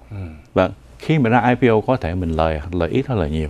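His pitch swings very widely. The man talks fairly slowly. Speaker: financial advisor. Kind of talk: financial segment talk.

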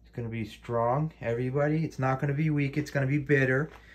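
This man's voice sits at a medium pitch, somewhat breathy, with ordinary pitch variation. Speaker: home herbal tea demonstrator. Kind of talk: casual tutorial. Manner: halting, repetitive. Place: kitchen. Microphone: phone near.

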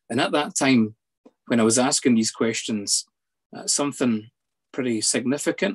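At a moderate pace, a man talks at a medium pitch against a quiet background. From Scotland, near Edinburgh; Scotland. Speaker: psychologist; guest. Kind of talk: personal testimony. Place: home room. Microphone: video call.

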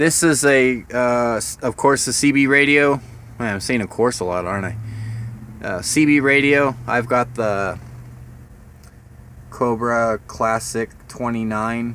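A man speaks at a very slow pace with ordinary pitch variation and long, frequent pauses, in a dry sound with no echo and light background noise. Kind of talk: casual vlog tour. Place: car. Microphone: phone near.

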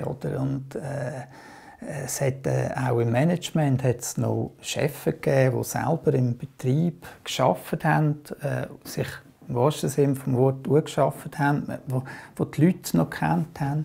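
Ordinary pitch variation and vocal fry mark this dark, mellow voice, which moves at a fairly slow pace. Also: man, fairly high pitch for a man. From Aargau, Switzerland. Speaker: trade unionist and politician. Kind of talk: oral history interview answer. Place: home room.

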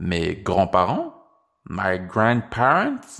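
A man talks at a fairly low pitch and a very slow pace. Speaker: language teacher. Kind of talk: tutorial; scripted narration.

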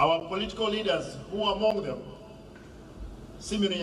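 Light background noise sits under the speech, and some room echo can be heard. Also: man. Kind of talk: formal ceremonial speech. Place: stadium. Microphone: podium.

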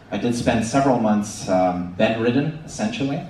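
A man is speaking here. Audible room echo and light background noise surround his voice. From Canada. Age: 30s. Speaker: ostomy patient speaker. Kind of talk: conference presentation. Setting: stage with audience. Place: hall. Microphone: pa.

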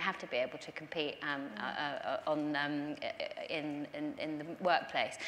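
A woman's very deep, low voice over light background noise. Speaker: guest, politician. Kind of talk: panel discussion answer. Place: stage.

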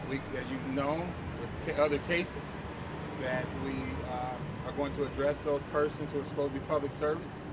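Loud background noise runs under the recording. A man speaks over it at a moderate pace. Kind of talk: interview answer. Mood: measured, formal. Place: street.

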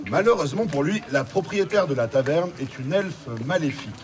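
A man talks at a fairly quick pace. Noticeable background noise runs underneath. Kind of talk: stage banter to audience. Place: street. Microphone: camera far.

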